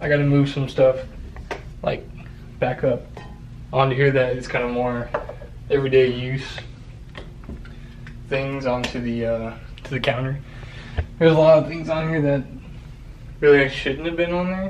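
Music plays in the background behind a man talking at a moderate pace. His intonation is fairly even, with long, frequent pauses. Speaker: home vlogger. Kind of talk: casual vlog chat. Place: bathroom. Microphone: phone near.

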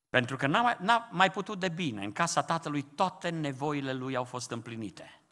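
Against a quiet background, a man with a fairly high pitch and bright, sharp tone talks at a moderate pace with hardly any pauses and very wide pitch swings. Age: old. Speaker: pastor. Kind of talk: sermon. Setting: church. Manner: impassioned. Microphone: podium.

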